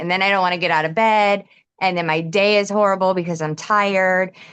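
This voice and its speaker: A woman's plain, everyday voice at medium pitch and moderate pace, against a quiet background. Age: 40s. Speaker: customer giving testimonial. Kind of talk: testimony.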